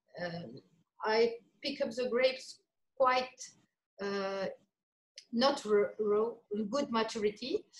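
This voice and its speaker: Fairly high-pitched speech from a woman in a French accent, very slow, with long, frequent pauses and ordinary pitch variation. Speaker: winemaker. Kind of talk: casual chat. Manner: halting.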